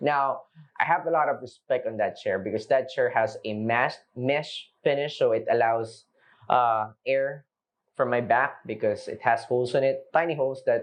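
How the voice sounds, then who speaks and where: A man with a Filipino accent speaks at a moderate pace. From Philippines, Manila. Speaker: product review vlogger. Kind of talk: casual product review. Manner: unscripted, with frequent fillers and restarts.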